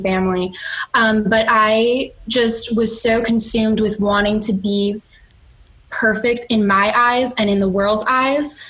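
A woman with an American accent talks in a normal speaking voice, her intonation fairly even. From Chicago. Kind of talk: testimony.

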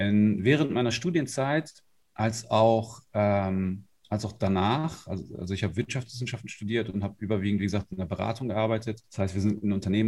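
A man's fairly low-pitched voice. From northern Germany, Lower Saxony. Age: 30s. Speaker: life and business coach. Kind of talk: interview.

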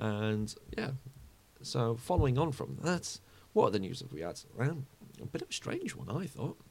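With a British accent and vocal fry, a man speaks at a medium pitch and moderate pace, using very wide pitch swings and long, frequent pauses. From UK. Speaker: football fan podcaster. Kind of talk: solo podcast monologue. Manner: casual, with frequent fillers.

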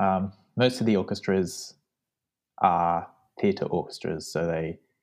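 A man's fairly low, dark, mellow voice in an Australian accent, at a moderate pace, over a quiet background. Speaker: trumpet student. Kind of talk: casual interview chat. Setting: remote call.

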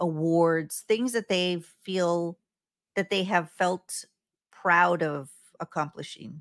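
Speaking at a very slow pace, a woman uses a fairly low pitch and fairly even intonation in a dry, close sound with no echo on a very clean recording with a silent background. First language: Spanish. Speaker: podcast host, anxiety expert. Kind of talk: casual chat.

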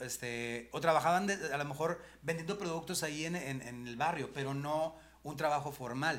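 A man talks at a moderate pace with a fairly high pitch and ordinary pitch variation. He has a plain, everyday voice. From Mexico, Monterrey (Nuevo León). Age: 50s. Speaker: comedian and motivational speaker. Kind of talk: casual chat.

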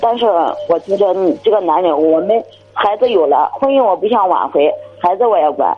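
Pausing long and often, a woman speaks at a moderate pace and medium pitch with very even loudness. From Heze, Shandong, China. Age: 30s. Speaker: caller. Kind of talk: call-in advice. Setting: phone call.

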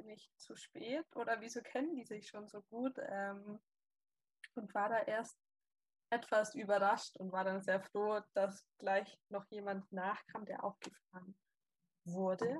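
A woman speaks very slowly and somewhat breathily at a fairly high pitch, with ordinary pitch variation, big swings in loudness, long, frequent pauses, and a dry, close sound with no echo. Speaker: volunteer. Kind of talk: casual chat.

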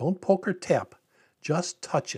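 A dark, mellow tone comes at a moderate pace. The recording is very clean, with a silent background. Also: man. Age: 70s. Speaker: tech tutor for seniors. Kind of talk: tutorial. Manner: friendly and conversational.

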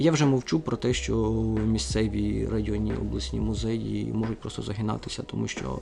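Noticeable background noise can be heard throughout. The talking goes at a moderate pace. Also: man. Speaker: museum director and historian. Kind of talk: interview. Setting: museum library.

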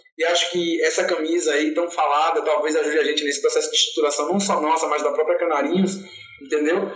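There's a male speaker. His voice comes with audible room echo and noticeable background noise. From Salvador, Bahia, Brazil. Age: 30s. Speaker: LGBT activist and fan group founder. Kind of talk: interview.

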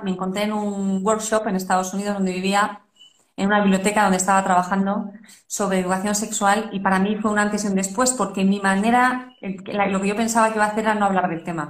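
A somewhat breathy woman at medium pitch talks fairly quickly, with audible room echo. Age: 40s. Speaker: parenting podcast host. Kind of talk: interview.

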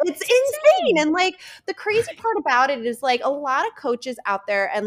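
An enthusiastic voice with a New Jersey accent moves at a fairly slow pace. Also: woman. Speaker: podcast guest, EFT tapping and subconscious mind coach. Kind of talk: informal, with profanity. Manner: casual, heavy use of filler "like", enthusiastic.

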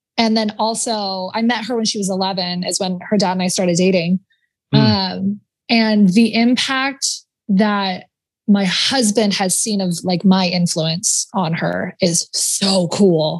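A woman speaks slowly-ish with a medium-pitched, somewhat breathy voice. Her intonation stays fairly even, and the pace is fairly slow. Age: 20s. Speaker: productivity coach. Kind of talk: casual chat.

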